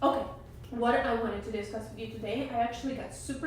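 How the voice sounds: A raspy woman's voice with a fairly high pitch is heard with audible room echo.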